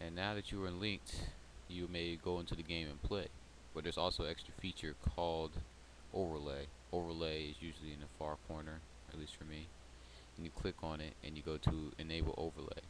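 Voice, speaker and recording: Light background noise sits under a man's very deep, low voice with vocal fry, delivered at a fairly quick pace with fairly even intonation and a dry sound with no echo. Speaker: gamer making a tutorial. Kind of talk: software tutorial narration. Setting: close to microphone. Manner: soft-spoken.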